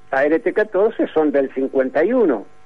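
A man with a Rioplatense accent speaks at a fairly high pitch, his voice swinging very widely up and down. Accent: Argentine Spanish (rioplatense). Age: 70s. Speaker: retired sports journalist. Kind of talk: interview.

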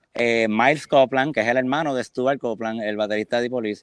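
A man's voice, dry and close with no echo. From Puerto Rico, San Juan. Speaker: rock drummer. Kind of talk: interview. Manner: halting.

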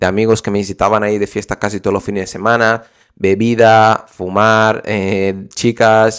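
A man of medium pitch at a moderate pace. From Brazil. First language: Portuguese (speaking Spanish). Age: 20s. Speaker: podcast host, online business coach. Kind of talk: solo podcast tutorial. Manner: animated.

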